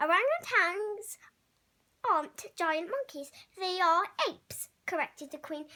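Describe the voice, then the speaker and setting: A woman puts on a character voice at an extremely high pitch. Her intonation is lively and her pace fairly slow. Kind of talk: bedtime story. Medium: read story. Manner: regal, clipped, upper-class.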